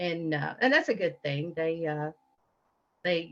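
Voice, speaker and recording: A woman speaks with a Southern accent at a fairly low pitch. Her pace is fairly slow. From Appalachian Kentucky. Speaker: guest. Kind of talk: interview. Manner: halting.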